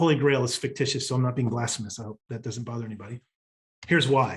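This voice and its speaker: A man talks at a very fast pace, his voice somewhat breathy and his intonation fairly even. His loudness swings a lot. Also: medium pitch for a man. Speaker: business coach. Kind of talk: recorded workshop presentation.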